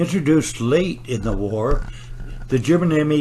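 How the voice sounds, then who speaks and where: Moderate pacing from a man, with noticeable background noise behind him. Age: 80s+. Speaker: war veteran, bomber pilot. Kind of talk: museum gallery narration.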